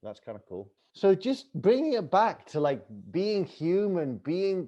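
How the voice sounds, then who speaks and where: This man has a high pitch and an English accent, his tone animated. His pitch swings very widely. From England. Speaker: author and travel TV host. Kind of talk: podcast interview.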